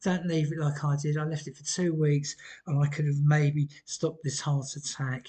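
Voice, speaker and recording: A man's fairly high-pitched voice with a British accent, somewhat breathy and dark, mellow in tone, in a monotone, flat intonation at a moderate pace. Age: 60s. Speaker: vlogger. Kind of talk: personal testimony vlog. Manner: hesitant, many ums.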